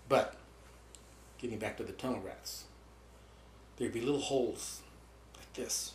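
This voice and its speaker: Speaking at a moderate pace, a man with a medium pitch and a somewhat breathy voice uses ordinary pitch variation. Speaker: war veteran. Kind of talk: interview answer.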